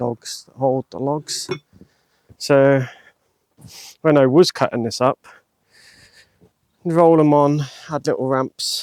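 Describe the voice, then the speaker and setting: Recorded dry and close with no echo, a man with a fairly high pitch mumbles at a very slow pace with fairly even intonation, long, frequent pauses and big swings in loudness. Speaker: DIY hobbyist vlogger. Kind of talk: casual talk to camera while working. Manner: mumbling. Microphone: new mic on trial.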